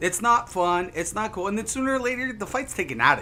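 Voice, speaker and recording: An American-accented man speaks in a raised, projected voice at a moderate pace. His tone is animated, bright and sharp. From Ohio, south of Canton. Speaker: gaming streamer. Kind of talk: casual chat.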